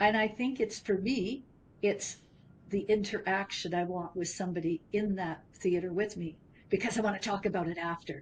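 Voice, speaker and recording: Somewhat breathy, a woman of medium pitch talks at a moderate pace with ordinary pitch variation. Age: 70s. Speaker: business founder. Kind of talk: interview conversation.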